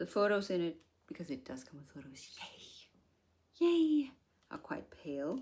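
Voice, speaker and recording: A woman with a medium pitch speaks at a moderate pace, her tone dark and mellow and somewhat breathy. Her pitch swings very widely, her loudness shifts greatly, and she takes long, frequent pauses. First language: not English. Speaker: haul video creator. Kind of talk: product review.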